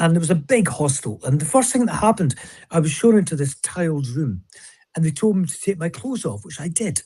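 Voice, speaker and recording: Talking at a very fast pace in a Scottish accent, a man has a fairly high pitch, a dark, mellow tone and very wide pitch swings. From Scotland. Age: 70s. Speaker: author and speaker. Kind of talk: interview conversation.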